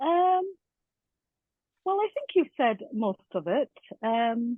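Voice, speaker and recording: A woman with an American accent speaks at a very slow pace, her high voice making very wide pitch swings. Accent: mild Scottish with an American tinge. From Scotland, Edinburgh. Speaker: teacher, language coordinator. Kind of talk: interview podcast.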